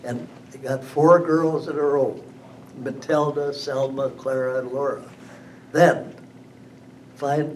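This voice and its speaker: The speech has an American accent and a monotone, flat intonation. It moves at a very slow pace with audible room echo. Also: man. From western Wisconsin, US Upper Midwest. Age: 90s. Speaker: local elder telling life history. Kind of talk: oral history interview. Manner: halting, with repetitions.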